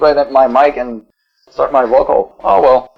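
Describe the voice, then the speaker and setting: A man speaks at a moderate pace with a Quebec accent. Music plays in the background. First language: French. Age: 40s. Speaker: metal band vocalist. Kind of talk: interview. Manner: halting.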